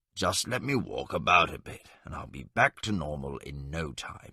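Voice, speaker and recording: Using a raspy, put-on character voice, a man speaks at a moderate pace in a very deep, low pitch with big swings in loudness. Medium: audio drama. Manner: jovial, stubborn.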